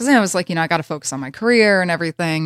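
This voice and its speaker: A fairly low woman's voice with an American accent, dry and close with no echo, on a very clean recording with a silent background. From US South. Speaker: journalist and host. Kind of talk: casual chat.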